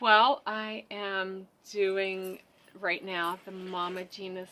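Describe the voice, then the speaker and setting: A woman with an American accent speaks at a medium pitch in a monotone, flat intonation. Her tone is bright and sharp. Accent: suppressed Southern. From West Virginia and rural Pennsylvania. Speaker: EFT practitioner and web designer. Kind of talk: casual interview chat.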